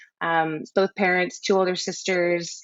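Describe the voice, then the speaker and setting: A woman with an American accent and a plain, everyday voice, medium in pitch, at a moderate pace. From US, Central California. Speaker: photographer. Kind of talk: interview. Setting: podcast recording.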